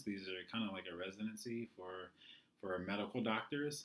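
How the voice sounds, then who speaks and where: The man's voice sits fairly low in pitch. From California (Joshua Tree). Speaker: physical therapist. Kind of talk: lecture. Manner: monotone; hesitant, many fillers.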